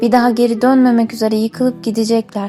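A woman with a fairly high pitch speaks with fairly even intonation over music in the background. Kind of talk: poetry reading.

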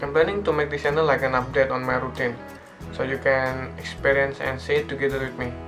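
Clear music plays behind a man speaking at a very fast pace. His pitch is medium and his intonation lively. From Indonesia. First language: non-native English speaker. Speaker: foreign student in Japan. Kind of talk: casual channel introduction to camera. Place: home room. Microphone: phone near.

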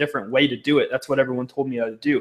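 Very fast delivery against a quiet background, with ordinary pitch variation. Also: man. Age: 20s. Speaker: social media marketing specialist; webinar presenter. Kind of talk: personal testimony. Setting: live video stream. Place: home room. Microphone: earbuds.

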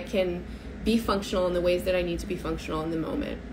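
A woman with an American accent, with noticeable background noise. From United States. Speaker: astrologer. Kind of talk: solo talk to camera. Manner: hesitant, many fillers. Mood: earnest, thoughtful. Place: home room. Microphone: phone near.

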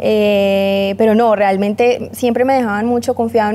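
The voice has a dark, mellow tone. Its intonation stays monotone and flat. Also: woman. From Colombia. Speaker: model; interview guest. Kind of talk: interview. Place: studio. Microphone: lapel.

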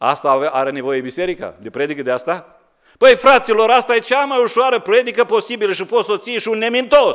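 A high-pitched man at a very fast pace, with very wide pitch swings, against a quiet background. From Romania. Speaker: pastor. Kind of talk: sermon. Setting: church. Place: church. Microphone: podium.

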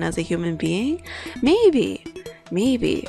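A woman talks while music plays behind her. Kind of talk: casual let's play commentary. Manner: slow, subdued.

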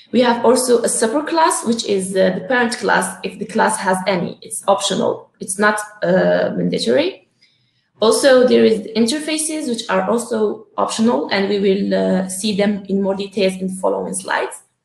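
There is audible room echo as a woman talks at a moderate pace, her loudness swinging widely. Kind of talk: lecture. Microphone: webcam.

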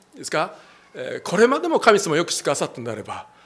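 This man's pitch swings very widely as he speaks. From Japan. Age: 60s. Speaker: pastor. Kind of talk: sermon. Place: church. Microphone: handheld.

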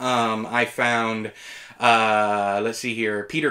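A man's very slow speech in a bright, sharp tone, against a quiet background. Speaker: TV reviewer. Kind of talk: review commentary. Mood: opinionated, mildly exasperated. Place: home room.

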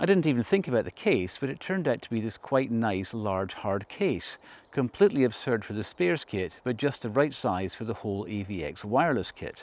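With lively intonation and a slightly mellow tone, a man talks at a medium pitch and moderate pace.

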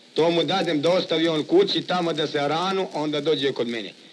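This man speaks at a moderate pace in a high voice with ordinary pitch variation. Light background noise can be heard. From Sandžak, Serbia (village Glogovik near Novi Pazar); Serbia. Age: 30s. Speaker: café owner and gusle singer. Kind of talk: interview. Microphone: old recording.

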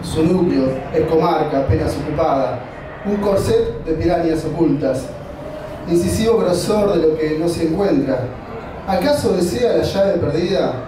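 With audible room echo and noticeable background noise, a man with a high pitch and ordinary pitch variation talks with long, frequent pauses. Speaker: poetry reader. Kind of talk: poetry reading at a live event, with spoken asides between poems. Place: stage.

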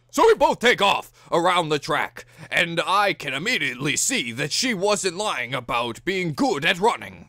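A middle-pitched, put-on character voice. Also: moderate pace. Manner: commentating.

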